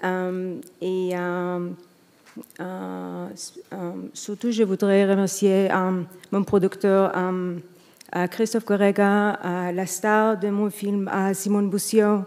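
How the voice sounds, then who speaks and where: A woman with a non-native accent and medium pitch speaks at a very slow pace in a monotone, flat intonation, with long, frequent pauses, on a very clean recording with a silent background. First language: not French (speaking French). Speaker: film director, award winner. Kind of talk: acceptance speech. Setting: stage with audience. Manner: halting.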